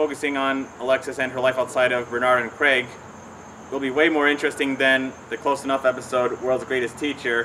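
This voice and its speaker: Over light background noise, a man talks at a fairly quick pace in a monotone, flat intonation. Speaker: cartoon commentary vlogger. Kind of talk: commentary. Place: garden.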